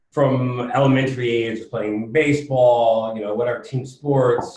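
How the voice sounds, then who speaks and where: With an American accent, a man speaks in a normal speaking voice at medium pitch and with fairly even intonation. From US Northeast, Connecticut. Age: 30s. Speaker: podcast guest, fitness and real estate investor. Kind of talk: casual interview. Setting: conference room, in person.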